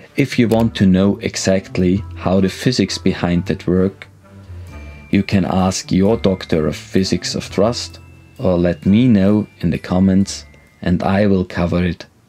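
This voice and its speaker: A very deep, low male voice with ordinary pitch variation over faint background music. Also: fairly slow pace. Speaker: sailing instructor. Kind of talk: tutorial. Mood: friendly, lightly humorous. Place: studio.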